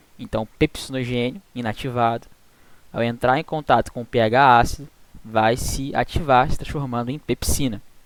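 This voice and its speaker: Intonation stays fairly even while the speech moves at a moderate pace. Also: man, medium pitch for a man. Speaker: student tutor teaching veterinary physiology. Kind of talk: online tutoring lecture.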